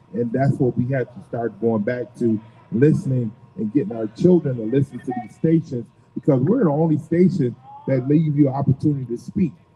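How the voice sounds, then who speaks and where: Amid noticeable background noise, a man with an American accent talks at a fairly quick pace, with medium pitch and ordinary pitch variation. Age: 60s. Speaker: radio host. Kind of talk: live radio talk. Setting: off-site live radio broadcast.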